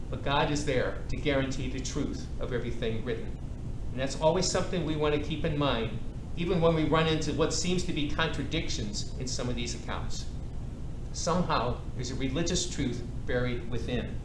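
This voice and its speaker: Someone talks at a fairly quick pace over noticeable background noise. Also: man. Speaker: priest teaching a Bible class. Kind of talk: lecture. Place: hall.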